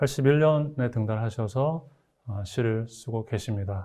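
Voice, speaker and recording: At a very slow pace, a man speaks with a medium pitch and a somewhat breathy, dark, mellow tone. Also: very clean recording, silent background. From Gyeongbuk, South Korea. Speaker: literary critic and moderator. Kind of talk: moderated literary talk. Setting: studio. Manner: stiff, hesitant with fillers.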